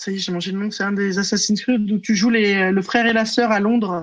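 Against a quiet background, a woman talks at a moderate pace. She has a normal speaking voice with ordinary pitch variation. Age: 30s. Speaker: prevention and training officer. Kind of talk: casual chat.

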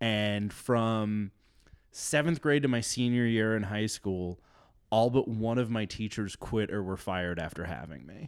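Over a silent background on a very clean recording, a man with a fairly low pitch speaks at a fairly slow pace with ordinary pitch variation. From US Midwest, South Dakota small town. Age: 30s. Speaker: podcast guest, former Senate page. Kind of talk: casual chat. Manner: halting, filler-heavy.

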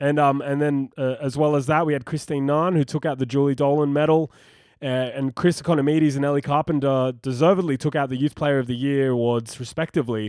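Talking at a very fast pace, a man with an Australian accent uses a fairly high pitch. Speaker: football podcast host. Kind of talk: casual chat. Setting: remote call. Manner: animated.

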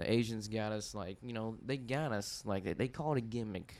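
Using a Texan accent, a man talks at a moderate pace in a fairly low voice with ordinary pitch variation. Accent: Texas, country. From Texas, Dallas area. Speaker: podcast guest, amateur stand-up comedian. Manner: casual storyteller, uses filler like "you know".

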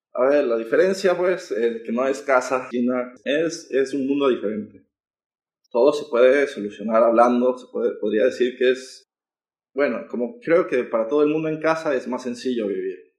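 Man with an ordinary speaking voice at medium pitch, ordinary pitch variation and a moderate pace. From Ecuador, Quito. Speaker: student. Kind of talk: interview.

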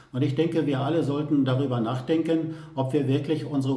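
Here a man speaks at a fairly high pitch with fairly even intonation. There is noticeable background noise and audible room echo. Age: 60s. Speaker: mayor. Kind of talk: interview.

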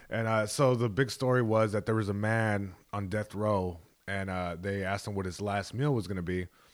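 A man with an American accent and a fairly low pitch talks at a moderate pace with fairly even intonation, on a very clean recording with a silent background. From Long Beach, California. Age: 20s. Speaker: comedian. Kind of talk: casual chat.

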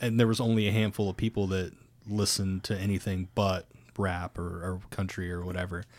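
A man with an American accent talks in an unremarkable speaking voice at a fairly low pitch and moderate pace. His intonation is fairly even, and the recording is very clean with a silent background. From Ohio, US. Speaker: podcast host. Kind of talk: casual chat.

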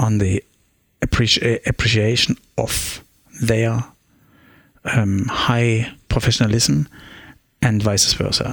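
Someone with a German accent speaks at a very slow pace, the sound dry and close with no echo. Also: man. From East Germany (Meissen). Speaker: orchestra conductor. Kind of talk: interview. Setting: coffee shop, then practice room. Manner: halting.

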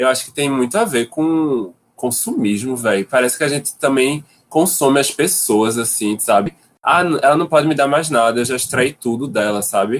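A man speaks at a moderate pace and a medium pitch in a normal speaking voice. His pitch variation is ordinary. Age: 20s. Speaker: visual artist. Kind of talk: casual chat.

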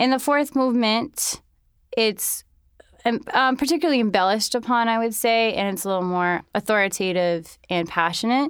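A woman speaks at a moderate pace with an American accent, in a plain, everyday voice. Her pitch sits fairly high and her intonation is lively, on a very clean recording with a silent background. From New York City. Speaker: violinist. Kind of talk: interview.

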